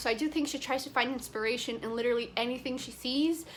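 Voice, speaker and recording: With ordinary pitch variation, the speaker uses a raised, projected voice. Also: woman. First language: not English. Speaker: book vlogger. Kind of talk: casual vlog review. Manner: animated.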